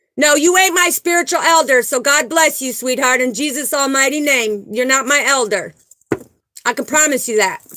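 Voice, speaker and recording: This woman's raised, projected voice sits high in pitch, with a bright, sharp tone and ordinary pitch variation. She sounds animated and keeps a moderate pace. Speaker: spiritual livestream host. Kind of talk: live stream chat with viewers.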